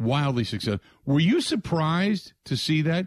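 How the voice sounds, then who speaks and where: This very clean recording, with a silent background, captures a man with an ordinary speaking voice at a fairly high pitch. His intonation is lively and his pace fairly slow. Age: 50s. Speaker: sports radio host. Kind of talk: casual sports talk radio. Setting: studio.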